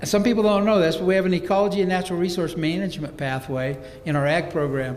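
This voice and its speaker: Very fast and high-pitched, a man speaks with ordinary pitch variation amid noticeable background noise and audible room echo. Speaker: career-technical education program director. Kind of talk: presentation to a school board. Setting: school board meeting with audience. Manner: enthusiastic.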